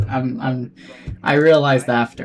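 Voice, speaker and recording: A man with a French-Canadian accent speaks with ordinary pitch variation. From Quebec. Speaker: flight sim streamer. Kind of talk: live stream commentary; radio phraseology. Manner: casual, chatty.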